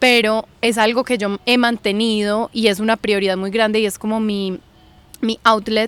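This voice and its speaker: A woman speaks fairly slowly at a fairly high pitch in a flat monotone. The sound is dry and close, with no echo. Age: 20s. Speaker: journalist and university student. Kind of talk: podcast interview. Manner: hesitant, with fillers.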